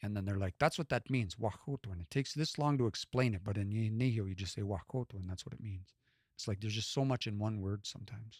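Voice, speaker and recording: A man with a western Canadian accent speaks at a very fast pace, his voice fairly low in pitch and somewhat breathy with ordinary pitch variation. The recording is very clean, with a silent background and a dry, close sound with no echo. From west central Alberta, Canada. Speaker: language learner and live streamer. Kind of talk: casual live stream chat. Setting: live stream.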